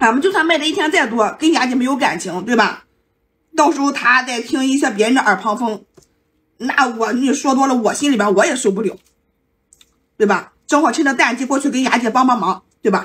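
A woman shouting in a high pitch, with lively intonation and a playful, animated tone. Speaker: livestream host selling while eating. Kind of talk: live-stream sales pitch while eating. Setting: live stream. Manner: fast, hard-sell haggling patter, shouting prices and stock urgency; chatty, playful, animated banter with viewers. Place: home room. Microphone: phone near.

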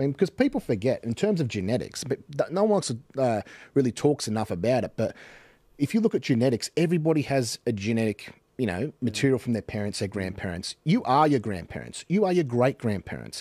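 In an Australian accent, a man talks at a very fast pace with very wide pitch swings, his medium-pitched voice dark and mellow in tone, the sound dry with no echo and the background quiet. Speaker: podcast host or commentator. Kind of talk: casual chat. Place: studio. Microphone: studio mic.

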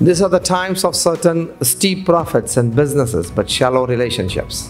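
Faint background music behind a man talking at a moderate tempo. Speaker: speaker. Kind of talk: seminar talk. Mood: warm, smiling. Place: hall. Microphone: podium.

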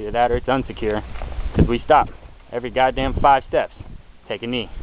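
Over noticeable background noise, a man talks at a very fast pace with a dry sound and no echo. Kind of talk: casual vlog chat, sarcastic commentary. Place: open country. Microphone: phone near.

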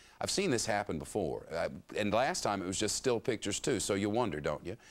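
A man with a Southern US accent speaks with very wide pitch swings. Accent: Southern US drawl. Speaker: TV news anchor. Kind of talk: TV news read. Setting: studio. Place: studio.

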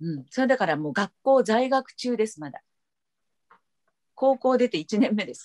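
Against a quiet background, a woman with a fairly high pitch speaks with very wide pitch swings, big swings in loudness and long, frequent pauses. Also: moderate pace. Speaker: voice actor. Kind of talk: interview answer. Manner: casual, lively. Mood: friendly, animated. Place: home room. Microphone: video call.

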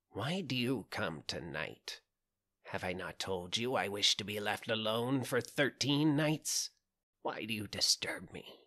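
A man in a croaky, put-on character voice at medium pitch, fairly slow pace and with a quiet background

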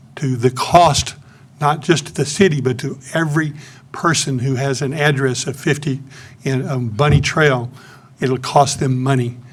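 The speech moves at a moderate pace with fairly even intonation. Long, frequent pauses break it up, and room echo is audible. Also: man, fairly high pitch for a man. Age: 80s+. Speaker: public commenter. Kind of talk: public comment. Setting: city council meeting.

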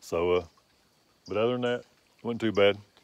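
A man is speaking. The sound is dry with no echo. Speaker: outdoor vlogger recounting an encounter. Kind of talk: casual vlog chat. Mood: relaxed, low-key wrap-up. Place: forest. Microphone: phone near.

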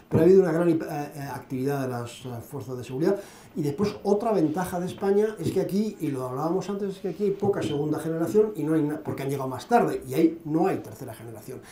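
A man talks at a very fast pace. Audible echo fills the room. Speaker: lecturer on Islam and radicalization; lecturer on Islam. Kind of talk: Q&A after a lecture. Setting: conference hall with audience. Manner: hesitant, many fillers. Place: hall. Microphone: podium.

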